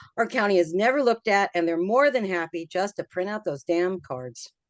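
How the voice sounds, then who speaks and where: A woman with an ordinary speaking voice at medium pitch and a fairly quick pace, in a dry, close sound with no echo against a quiet background. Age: 60s. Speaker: community member commenting at town hall. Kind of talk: public meeting comment.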